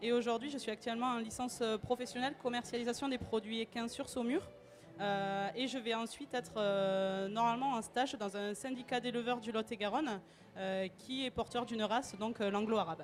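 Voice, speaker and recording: With music in the background, a woman in a southwestern French accent speaks at a fairly quick pace, with a fairly high pitch and fairly even intonation. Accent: southwest French. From southwest France. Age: 20s. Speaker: student and equine inseminator. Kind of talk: interview. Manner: hesitant, many fillers.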